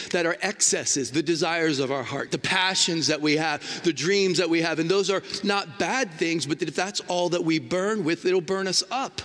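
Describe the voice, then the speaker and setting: At a moderate pace, a man with a high pitch and ordinary pitch variation sounds animated against noticeable background noise. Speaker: traveling preacher. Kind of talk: sermon. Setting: church.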